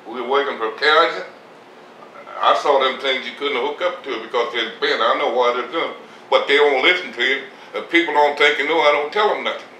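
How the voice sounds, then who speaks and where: A man speaks at a fairly quick pace. Noticeable background noise and audible room echo fill the recording. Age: 80s+. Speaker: retired farmer. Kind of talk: interview. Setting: at home. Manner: halting.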